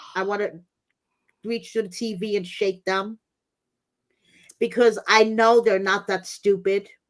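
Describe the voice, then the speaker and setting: A woman talks in an American accent with monotone, flat intonation. Her pace is fairly slow, with long, frequent pauses. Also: medium pitch for a woman. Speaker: YouTube commentator. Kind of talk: casual chat. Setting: YouTube livestream.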